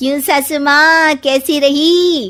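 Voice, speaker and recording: Here a woman performs a cartoonish character voice, pitched high. Her intonation stays fairly even. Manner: sly, mocking.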